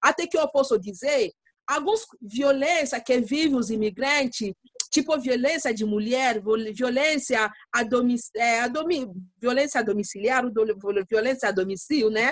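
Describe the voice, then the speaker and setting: A woman's high-pitched voice at a fairly slow pace, with very even loudness and ordinary pitch variation. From Democratic Republic of the Congo. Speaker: lawyer and refugee community advocate. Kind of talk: interview. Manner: halting, searching for words.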